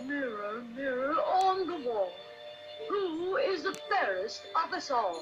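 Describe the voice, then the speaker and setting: A high-pitched, put-on character voice speaks at a fairly slow pace. Music is clearly heard in the background. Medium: read story. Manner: cold, imperious.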